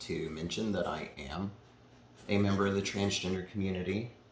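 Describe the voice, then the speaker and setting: A man with an American accent and a fairly low pitch, with audible room echo. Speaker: painter. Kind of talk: casual chat.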